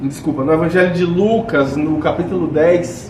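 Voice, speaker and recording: A man talks very slowly, with audible room echo and noticeable background noise in the recording. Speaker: spiritist lecturer. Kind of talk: lecture. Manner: speaking softer than usual.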